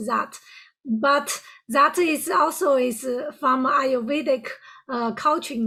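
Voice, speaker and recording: A woman's raised, projected voice in a strong Chinese accent, high in pitch with ordinary pitch variation, a bright, sharp tone and a fairly slow pace. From China. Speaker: podcast host and life coach. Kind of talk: podcast interview. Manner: deliberately slowed speech.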